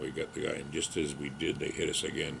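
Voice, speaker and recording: A man with an American accent speaks at a fairly quick pace. Noticeable background noise runs beneath him. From Massachusetts, Boston area (Needham); Massachusetts. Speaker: war veteran. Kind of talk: oral history interview. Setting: library. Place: home room.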